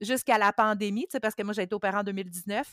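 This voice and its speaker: A woman speaks with a Quebec accent in a dry, close sound with no echo, on a very clean recording with a silent background. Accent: Québécois French. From Quebec, Mauricie. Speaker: bariatric surgery patient sharing experience. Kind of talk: testimony.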